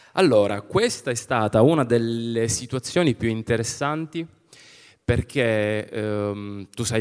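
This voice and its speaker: A man's voice against a quiet background. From Calabria, Arbëreshë community (Spezzano Albanese); Calabria, Italy. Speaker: film director; public presenter. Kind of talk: event presentation talk. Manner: hesitant, many fillers. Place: stage. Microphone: handheld.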